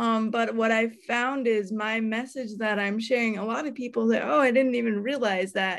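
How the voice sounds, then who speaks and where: An ordinary speaking voice from a woman, fairly high in pitch, with fairly even intonation, a moderate pace and hardly any pauses, on a very clean recording with a silent background. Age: 30s. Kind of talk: casual interview.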